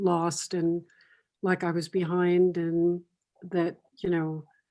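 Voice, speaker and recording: Recorded very cleanly against a silent background, a woman speaks at a very slow pace. Her voice is fairly low, with a dark, mellow tone. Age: 80s+. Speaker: mother of the host, former model. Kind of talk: casual chat. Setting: podcast recording. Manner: halting.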